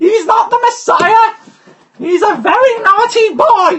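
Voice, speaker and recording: Using a put-on character voice, a man speaks at an extremely high pitch. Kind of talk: comic overacting. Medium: game stream. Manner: hysterical, shouting.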